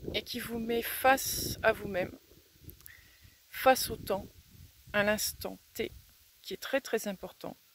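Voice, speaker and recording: Very slowly, a woman talks at a fairly high pitch. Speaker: self-development speaker. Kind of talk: reflective talk to camera. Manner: pausing between words.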